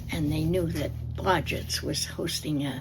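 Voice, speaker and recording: Whispering at a very slow pace, a woman speaks with an American accent. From New Jersey. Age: 80s+. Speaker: oral history interviewee. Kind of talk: oral history interview. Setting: library.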